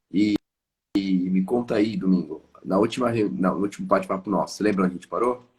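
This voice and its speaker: Pitch varies in an ordinary way across a very fast delivery. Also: man, fairly low pitch for a man. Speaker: live stream host, sales consultant. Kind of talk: casual chat. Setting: live stream.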